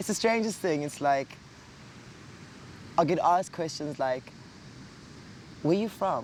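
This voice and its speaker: A man with a South African accent speaks in a high voice at a fairly slow pace, with lively intonation and long, frequent pauses. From South Africa, Cape Town. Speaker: actor and cabaret singer. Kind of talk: casual chat. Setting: outdoors. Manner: animated.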